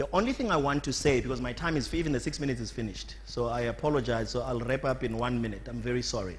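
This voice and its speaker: The speech comes at a very fast pace with hardly any pauses, amid audible room echo. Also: man. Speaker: conference speaker, productivity body chairman. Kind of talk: conference speech.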